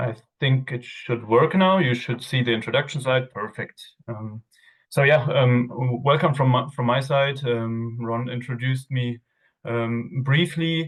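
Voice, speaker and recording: The man's voice is somewhat breathy, and his intonation stays fairly even. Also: medium pitch for a man, fairly slow pace. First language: not English. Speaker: outdoor gear product manager. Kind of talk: webinar presentation. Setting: video call webinar. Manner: hesitant, many fillers.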